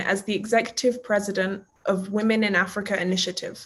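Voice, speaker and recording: A woman talks in a normal speaking voice at a fairly high pitch. Her pace is moderate and the background quiet. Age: 20s. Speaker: youth representative interviewer. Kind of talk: interview. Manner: formal.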